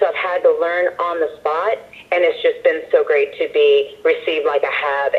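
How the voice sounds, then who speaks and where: There is noticeable noise in the background. Her pace, as a woman speaking, is moderate. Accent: American. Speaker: ring announcer and singer. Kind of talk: interview answer.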